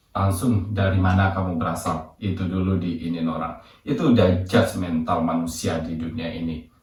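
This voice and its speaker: This man's voice is very deep and low, and somewhat breathy. He talks at a moderate pace. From Indonesia. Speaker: vlogger living abroad. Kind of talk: casual vlog monologue. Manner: casual, mixing English words.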